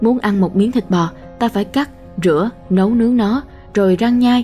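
A woman's voice showing ordinary pitch variation, with music in the background. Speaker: audiobook narrator. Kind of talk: audiobook reading of a self-help book.

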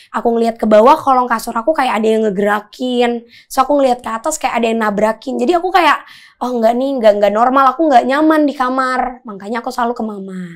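A woman talks very fast in a high voice with ordinary pitch variation. The background is quiet. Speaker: psychic medium; podcast guest. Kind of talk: casual interview chat. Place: studio.

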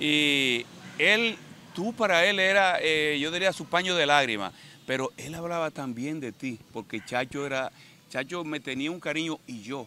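Speaking at a moderate pace, the man has a fairly high pitch and a bright, sharp tone. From Dominican Republic, Baní. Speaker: interviewer. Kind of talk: interview.

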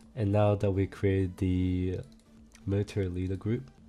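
Someone speaks at a moderate pace over music in the background. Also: man. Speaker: game server tutorial maker. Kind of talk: screen-recorded software tutorial.

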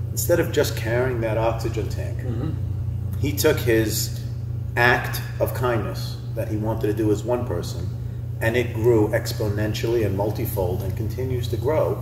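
With noticeable background noise behind him, a man speaks at a moderate pace and medium pitch in a monotone, flat intonation, leaving long, frequent pauses. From England, raised in US from 1977. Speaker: nonprofit founder. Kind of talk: interview. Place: hall.

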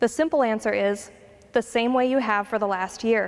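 Her pitch moves in an ordinary way. The woman keeps a moderate pace. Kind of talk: announcements. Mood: warm, calm. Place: church. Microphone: handheld.

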